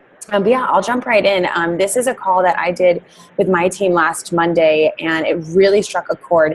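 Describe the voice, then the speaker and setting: Against noticeable background noise, the female speaker holds a medium pitch and varies it in an ordinary way. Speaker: network marketing team leader. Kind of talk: team training call. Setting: conference call.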